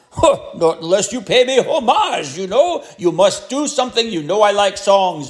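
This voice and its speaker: Putting on a character voice, a man talks at a high pitch with very wide pitch swings, at a moderate pace with hardly any pauses. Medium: read story. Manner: imperious.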